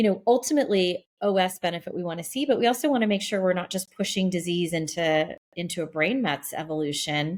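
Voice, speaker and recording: A woman's medium-pitched, normal speaking voice, with lively intonation, a fairly quick pace, and hardly any pauses, on a very clean recording with a silent background. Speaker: oncologist, podcast co-host. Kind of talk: medical podcast discussion.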